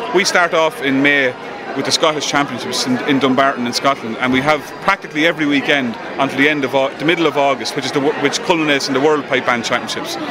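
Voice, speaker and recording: Amid noticeable background noise, a man talks at a very fast pace in a fairly high pitch with ordinary pitch variation. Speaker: pipe band drum sergeant. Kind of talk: interview. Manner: animated.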